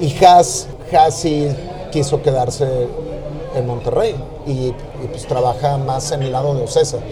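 A man speaks with long, frequent pauses. Room echo and noticeable background noise are both audible. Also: fairly high pitch for a man, fairly even intonation, fairly slow pace, big swings in loudness. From Mexico City. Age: 40s. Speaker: music manager. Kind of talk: casual interview. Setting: noisy restaurant.

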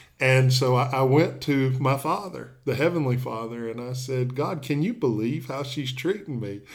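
Speaking with a Southern US accent, a man keeps a moderate pace at a medium pitch, with ordinary pitch variation and hardly any pauses. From Tennessee. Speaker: pastor. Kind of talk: interview.

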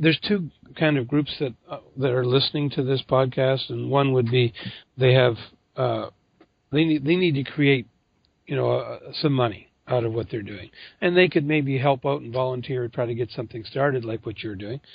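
A normal speaking voice from a man at medium pitch, moderate in pace, with ordinary pitch variation. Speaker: podcast host. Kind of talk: interview.

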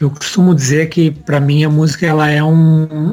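A man speaks with a fairly high pitch. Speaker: rock musician. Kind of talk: interview conversation.

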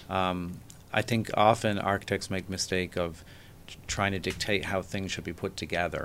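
With an Irish accent, a man with a very deep, low voice speaks at a moderate pace in a flat, monotone way. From Ireland, Dublin. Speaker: architect. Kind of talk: interview.

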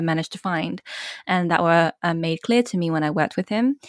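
On a very clean recording with a silent background, a woman speaks at a fairly low pitch in a dry, close sound with no echo. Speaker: copywriter. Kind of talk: casual interview chat. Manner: excited, animated.

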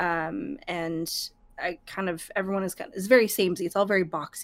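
In a plain, everyday voice, a woman talks at a moderate pace with a medium pitch. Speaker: streamer and podcast guest. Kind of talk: casual chat.

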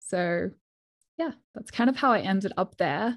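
A medium-pitched woman with an Australian accent at a moderate pace, on a very clean recording with a silent background. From Perth, Western Australia. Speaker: ski instructor. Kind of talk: casual chat.

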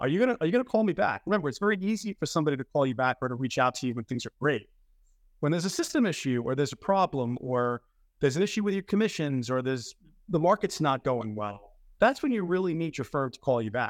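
A man's fairly high voice at a very fast pace with very wide pitch swings, dry and close with no echo, on a very clean recording with a silent background. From New York City, the Bronx. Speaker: trading firm executive. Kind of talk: interview conversation.

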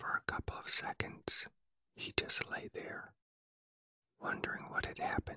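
Whispering in a soothing tone with long, frequent pauses, a man sounds dry and close with no echo. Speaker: sleep podcast host and narrator. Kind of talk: bedtime story reading, whispered; whispered adaptation, storytelling. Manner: soft, slow, soothing whisper.

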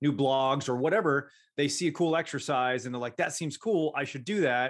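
A man with an ordinary speaking voice talks at a fairly quick pace. His pitch is fairly high, with ordinary variation. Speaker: strength and conditioning coach. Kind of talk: casual chat.

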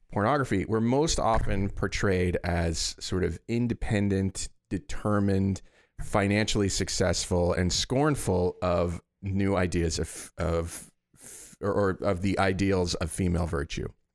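A man with a normal speaking voice talks at a fairly slow pace and fairly low pitch. His pitch variation is ordinary, his loudness very even, and the recording very clean with a silent background. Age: 40s. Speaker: podcast co-host. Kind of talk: presenting researched facts; casual chat.

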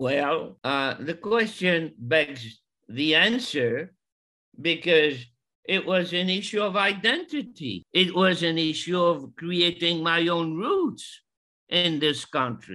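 Bright and sharp in tone, a voice with a French accent moves at a very slow pace with ordinary pitch variation, on a very clean recording with a silent background. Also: man, high pitch for a man. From Morocco. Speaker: retired psychology professor. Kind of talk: family conversation. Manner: halting.

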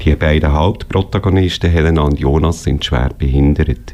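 A man talks at a moderate pace. His voice is very deep and low, with noticeable background noise. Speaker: radio host. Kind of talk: radio magazine presenting and interviewing.

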